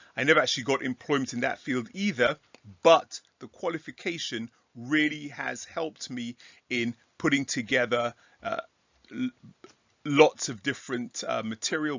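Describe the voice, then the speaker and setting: This man has an English accent. He talks at a moderate pace. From England. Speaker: Bible teacher. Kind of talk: casual talk to camera. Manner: halting with fillers.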